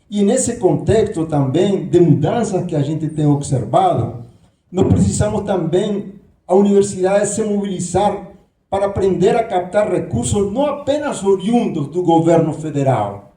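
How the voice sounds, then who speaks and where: With audible room echo, a man talks in a high voice with lively intonation. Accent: Nicaraguan. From Nicaragua. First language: Spanish (speaking Portuguese). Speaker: professor, candidate for university leadership. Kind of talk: debate speech. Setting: auditorium with audience.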